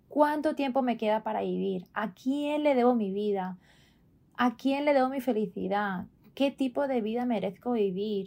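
At a fairly slow pace, a woman speaks in a plain, everyday voice with fairly high pitch and ordinary pitch variation. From Spain, Barcelona. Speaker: wellness coach, podcast co-host. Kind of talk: casual conversational podcast.

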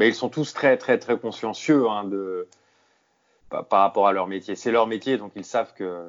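Slow-ish and fairly low, a man's voice carries ordinary pitch variation. He talks at a fairly slow pace. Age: 30s. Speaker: sports journalist. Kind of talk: interview. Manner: halting, with many repeated words.

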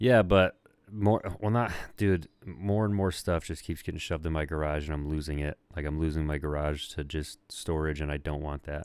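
On a very clean recording with a silent background, a man speaks at a moderate pace in a very deep, low voice with ordinary pitch variation. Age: 30s. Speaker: podcast co-host. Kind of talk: casual chat.

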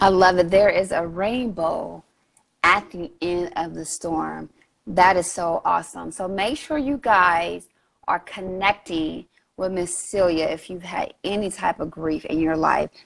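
With a fairly low pitch, a woman talks at a fairly slow pace. Her pitch variation is ordinary. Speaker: podcast host. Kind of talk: podcast interview. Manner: warm, enthusiastic.

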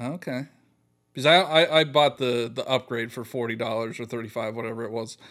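A man talks fairly quickly in a plain, everyday voice at medium pitch, with ordinary pitch variation and big swings in loudness. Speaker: gaming podcast co-host. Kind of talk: casual chat.

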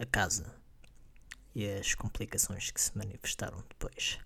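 The speaker talks at a moderate pace with a European Portuguese accent. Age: 20s. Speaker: podcast host. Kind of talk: casual monologue.

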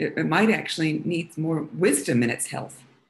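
A somewhat breathy woman's voice carries ordinary pitch variation. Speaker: Feldenkrais practitioner and massage therapist. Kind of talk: interview. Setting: live stream. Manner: halting, many fillers.

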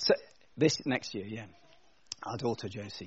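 Lively intonation marks a man's speech in an English accent. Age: 50s. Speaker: pastor. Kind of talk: sermon. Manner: casual, conversational.

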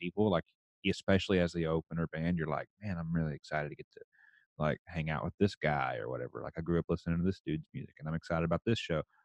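Speaking at a very fast pace with a slight Texas accent, a man uses a very deep, low pitch, ordinary pitch variation and big swings in loudness, the sound dry and close with no echo. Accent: slight Texas twang. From rural Texas. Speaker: country musician and oil field worker. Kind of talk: casual chat.

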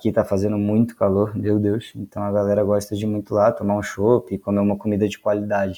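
With hardly any pauses and a fairly quick pace, a man speaks in a dark, mellow tone at a fairly low pitch, his intonation monotone and flat. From Brazil, Petrópolis (Rio de Janeiro state), then São Paulo. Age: 20s. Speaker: master brewer. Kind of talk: interview.

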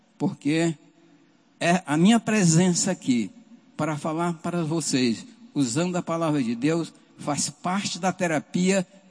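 This man talks at a fairly slow pace in a high-pitched voice. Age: 70s. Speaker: lay church leader. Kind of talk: sermon.

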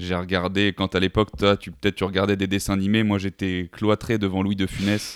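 A man's fairly low voice at a fairly quick pace, with hardly any pauses, monotone, flat intonation, and a dry, close sound with no echo. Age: 20s. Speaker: sales manager and podcaster. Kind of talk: casual interview. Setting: remote call.

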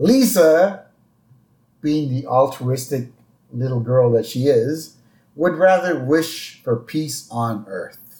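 Lively in intonation, the voice has a dark, mellow tone, sounds somewhat breathy and moves at a very slow pace. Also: man. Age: 40s. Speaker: podcast host. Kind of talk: casual chat.

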